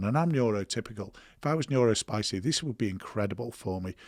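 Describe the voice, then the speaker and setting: A man with a British accent speaks at a moderate pace with lively intonation. The sound is dry and close with no echo, in a very clean recording with a silent background. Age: 60s. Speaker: ADHD clinic founder, former police officer. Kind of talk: podcast interview.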